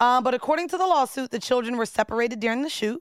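A woman is heard with a dry, close sound that has no echo. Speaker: podcast co-host. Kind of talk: casual chat. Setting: studio. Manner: animated.

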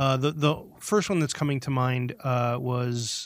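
A plain, everyday voice from a man with an American accent, fairly high in pitch, at a fairly slow pace with ordinary pitch variation. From US Midwest. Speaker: podcast co-host. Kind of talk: casual chat.

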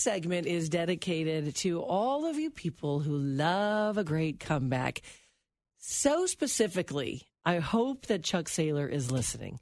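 On a very clean recording with a silent background, a woman of fairly low pitch talks at a fairly slow pace with very wide pitch swings. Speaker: radio host. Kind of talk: casual radio chat. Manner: animated.

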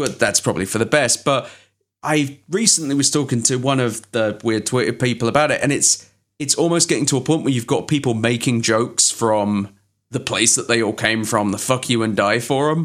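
Over a silent background in a very clean recording, a man talks with an English accent. His pitch is medium, his pace fairly quick and his loudness very even. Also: ordinary pitch variation. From England. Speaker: podcast host. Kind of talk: casual chat.

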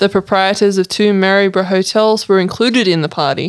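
On a very clean recording with a silent background, a woman with an Australian accent talks at a fairly quick pace and medium pitch. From Sydney, Australia. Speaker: co-host and researcher. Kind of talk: casual chat.

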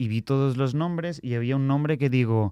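Fairly quick speech in a dark, mellow tone with ordinary pitch variation, dry and close with no echo, on a very clean recording with a silent background. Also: man. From Spain, Barcelona. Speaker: comedian and podcast co-host. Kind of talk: casual chat.

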